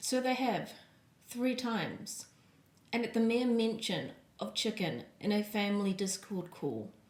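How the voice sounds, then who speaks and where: Against noticeable background noise, a woman speaks at a fairly slow pace. Her voice is fairly high, with ordinary pitch variation. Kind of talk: casual vlog talk to camera.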